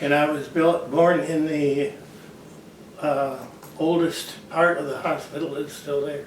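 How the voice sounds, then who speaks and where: A fairly high-pitched man with an American accent in a monotone, flat intonation, at a fairly slow pace with long, frequent pauses, amid noticeable background noise and audible room echo. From Michigan, Grand Rapids. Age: 90s. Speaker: retired orchard farmer. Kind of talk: interview.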